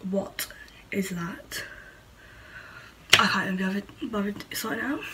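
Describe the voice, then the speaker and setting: A woman at medium pitch talks with fairly even intonation at a moderate pace, noticeable background noise running underneath. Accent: Manchester. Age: young. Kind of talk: casual talk to camera.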